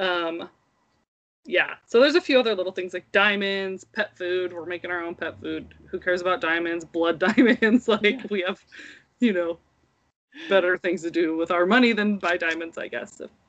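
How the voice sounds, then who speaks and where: With ordinary pitch variation and a medium pitch, a woman with an unremarkable speaking voice talks at a moderate pace. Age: 30s. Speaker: podcast co-host and mother. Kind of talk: casual chat.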